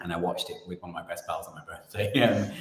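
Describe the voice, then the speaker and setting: A man with a British accent over noticeable background noise. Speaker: playwright and director. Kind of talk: interview.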